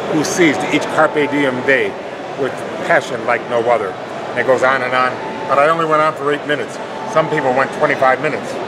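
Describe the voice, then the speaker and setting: A man speaks at a fairly quick pace while loud background noise fills the recording. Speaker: retired pro wrestler. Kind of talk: improvised wrestling promo. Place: hall. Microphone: phone near.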